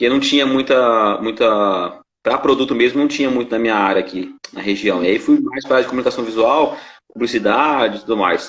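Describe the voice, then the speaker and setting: A man at a fairly quick pace, medium pitch, ordinary pitch variation. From interior of São Paulo state, Brazil. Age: 30s. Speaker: graphic designer. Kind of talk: casual interview in a live stream. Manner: hesitant, many fillers.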